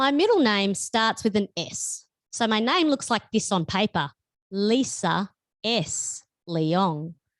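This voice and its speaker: An Australian-accented woman at medium pitch with very wide pitch swings, in a dry, close sound with no echo on a very clean recording with a silent background. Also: very even loudness. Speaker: author. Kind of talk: reading aloud. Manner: loud.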